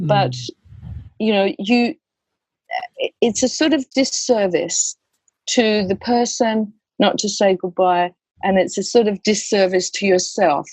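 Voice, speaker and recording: At a fairly slow pace, a woman with a medium pitch and a somewhat breathy voice speaks with lively intonation and long, frequent pauses, in a dry, close sound with no echo. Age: 60s. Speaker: death doula and educator. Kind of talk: podcast interview.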